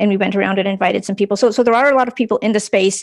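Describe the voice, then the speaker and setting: Over a quiet background, a woman with a Brooklyn accent speaks at a medium pitch with vocal fry. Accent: inherited Brooklyn. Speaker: tech panelist on decentralized social media. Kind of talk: panel discussion.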